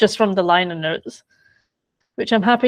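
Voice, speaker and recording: A woman with an English accent speaks at a medium pitch with ordinary pitch variation. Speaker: biographer. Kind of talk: interview.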